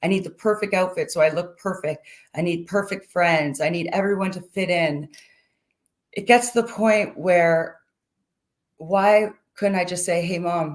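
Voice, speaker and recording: Speaking at a moderate pace with a medium pitch, a woman keeps her intonation fairly even and leaves long, frequent pauses. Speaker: mental health advocate. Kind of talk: personal testimony talk.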